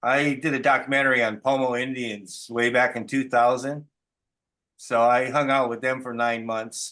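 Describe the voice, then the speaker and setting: With an ordinary speaking voice, a man talks at a moderate pace and medium pitch in a quiet setting. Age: 60s. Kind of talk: casual chat. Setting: video call.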